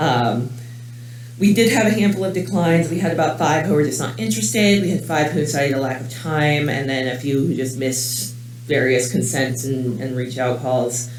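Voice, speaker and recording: With noticeable background noise and audible room echo, a man talks at a moderate pace and medium pitch with lively intonation. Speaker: clinical research coordinator. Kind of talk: conference talk. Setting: conference room with audience. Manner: loud; casual, many fillers.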